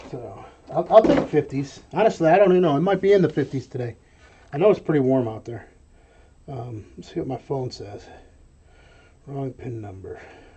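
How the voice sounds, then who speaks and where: With an American accent, a man speaks at a fairly high pitch, taking long, frequent pauses. His pitch swings very widely and his loudness shifts a lot. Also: fairly quick pace. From New York. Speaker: online reseller and live streamer. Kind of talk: live stream chat while working. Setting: warehouse room, webcam live stream. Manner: casual, with many fillers.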